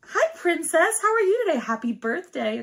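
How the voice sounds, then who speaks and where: A put-on character voice pitched extremely high. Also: moderate pace. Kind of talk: customer service. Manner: cheery, upbeat.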